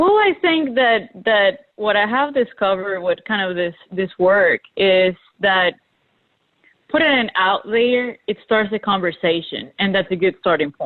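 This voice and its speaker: With a Spanish accent, a woman talks at a medium pitch with lively intonation. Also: fairly slow pace. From Colombia (Bogota and Medellin). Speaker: graphic designer. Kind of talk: panel discussion.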